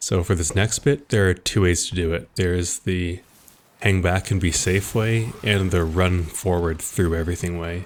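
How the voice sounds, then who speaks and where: On a very clean recording with a silent background, a man with a very deep, low pitch speaks at a moderate pace with fairly even intonation. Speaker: gaming video creator. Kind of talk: gameplay walkthrough commentary. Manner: low energy.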